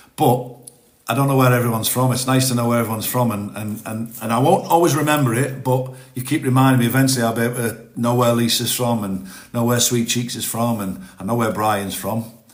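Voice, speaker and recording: Very fast speech from a man at medium pitch, with fairly even intonation and audible room echo. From northern England. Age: 50s. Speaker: TikTok live streamer, ex-forces. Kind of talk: casual live-stream chat. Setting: TikTok live stream. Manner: halting, repeats words.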